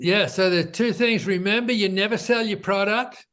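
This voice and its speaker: The background stays quiet as a man talks. He has an Australian accent and fairly even intonation. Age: 70s. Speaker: entrepreneur. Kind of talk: interview.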